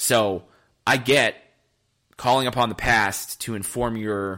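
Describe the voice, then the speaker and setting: Recorded very cleanly against a silent background, a man speaks at a medium pitch with a bright, sharp tone. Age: 20s. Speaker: sports podcast host. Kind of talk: solo sports commentary podcast. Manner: animated.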